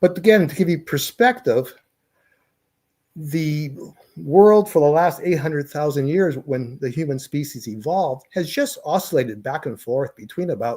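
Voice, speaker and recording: Over a very clean recording with a silent background, a man with a fairly high pitch and a dark, mellow tone speaks at a moderate pace, somewhat breathy, with lively intonation and big swings in loudness. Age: 60s. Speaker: professor. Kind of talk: lecture.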